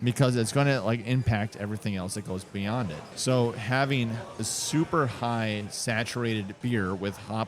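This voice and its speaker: Music plays in the background. A man with a medium pitch and ordinary pitch variation speaks at a moderate pace. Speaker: brewery co-owner. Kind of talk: casual chat. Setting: at the brewery.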